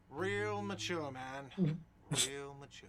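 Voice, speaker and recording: A man shouts in a put-on character voice, fairly high-pitched and whiny. His intonation is lively, and clear background noise can be heard. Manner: whiny, shouting.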